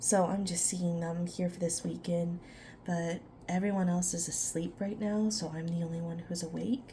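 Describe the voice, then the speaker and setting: The voice is soft-spoken and whispering, at a moderate pace. Audible room echo surrounds it. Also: woman. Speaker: ASMR creator. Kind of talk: ASMR ramble while crocheting.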